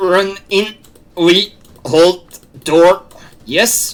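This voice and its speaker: A put-on character voice is delivered at a middle pitch. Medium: actual play. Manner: terse, broken phrasing.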